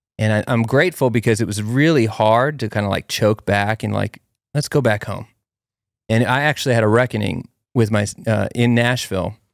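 On a very clean recording with a silent background and a dry, close sound with no echo, a man speaks at a fairly quick pace with medium pitch, ordinary pitch variation and an unremarkable speaking voice. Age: 30s. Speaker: podcast host. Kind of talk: casual chat.

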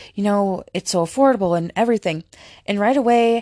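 A woman speaks at a medium pitch with ordinary pitch variation. The sound is dry and close, with no echo. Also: quiet background. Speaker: podcast host and film reviewer. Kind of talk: casual solo movie review. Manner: casual, chatty, filler words.

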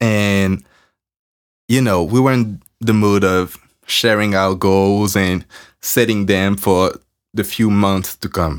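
Heard in a very clean recording with a silent background, a man with a French accent and a fairly low pitch speaks at a very slow pace. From France. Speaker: podcast host. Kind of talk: casual monologue. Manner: casual, rambling.

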